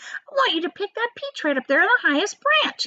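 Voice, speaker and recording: Using a squeaky put-on character voice, a woman speaks at a fairly quick pace in an extremely high pitch with very wide pitch swings. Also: dry, close sound with no echo. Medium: read story. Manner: bossy, pompous.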